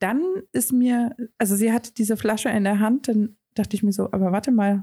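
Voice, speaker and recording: Somewhat breathy, with a dark, mellow tone, the voice moves at a fairly quick pace in a very clean recording with a silent background. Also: woman. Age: 30s. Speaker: podcast co-host. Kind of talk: casual chat.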